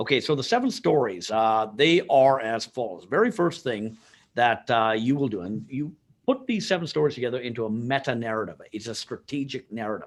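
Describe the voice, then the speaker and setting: On a very clean recording with a silent background, a man at medium pitch talks at a fairly quick pace with lively intonation. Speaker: sales and marketing consultant and author. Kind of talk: podcast interview. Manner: animated.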